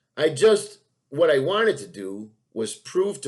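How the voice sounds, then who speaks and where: Speaking at a very slow pace, a man with a fairly high pitch and vocal fry makes very wide pitch swings. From New York. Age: 50s. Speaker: podcast host. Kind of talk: monologue. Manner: halting.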